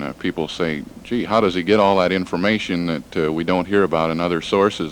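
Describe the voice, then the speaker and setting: Noticeable background noise sits behind a man with a very deep, low voice. He speaks very fast with fairly even intonation. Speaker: radio news director and interviewer. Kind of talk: radio interview questions.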